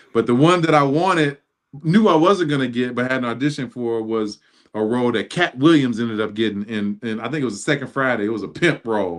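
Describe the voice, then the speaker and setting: Very fast, animated male speech with an American accent, medium pitch, and lively intonation. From Chicago, US Midwest. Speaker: marketing executive. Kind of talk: casual chat.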